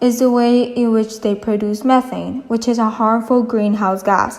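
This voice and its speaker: This woman talks at a fairly slow pace in a high voice. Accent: non-native. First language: not English. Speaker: environmental YouTuber. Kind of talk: educational explainer.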